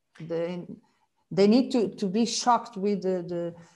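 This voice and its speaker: With a Portuguese accent, a woman speaks at a moderate pace in a dark, mellow tone. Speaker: marine biologist and author. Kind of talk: casual interview chat. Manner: halting with repetitions.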